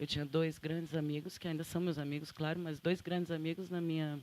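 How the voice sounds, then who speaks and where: A woman speaks fairly quickly in a fairly low, dark and mellow voice with a Santa Catarina accent. Her intonation stays fairly even. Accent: Santa Catarina accent, kept. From Santa Catarina, southern Brazil. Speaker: photographer and journalist. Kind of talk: panel talk.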